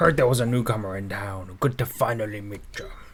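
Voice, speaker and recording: Over clear background noise, a man does a put-on character voice at a medium pitch and a fairly quick pace. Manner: playful, theatrical.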